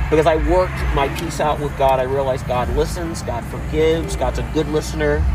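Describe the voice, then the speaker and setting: Noticeable background noise sits behind a man who speaks with hardly any pauses. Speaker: podcast host. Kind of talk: reading aloud; casual chat. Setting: home recording with music playing. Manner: animated.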